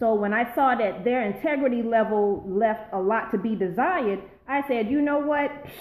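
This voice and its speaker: Using an unremarkable speaking voice, a woman speaks at a moderate pace with a fairly high pitch and ordinary pitch variation. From Charleston, South Carolina. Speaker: former public school educator. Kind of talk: casual live-stream talk to viewers. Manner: upbeat, excited.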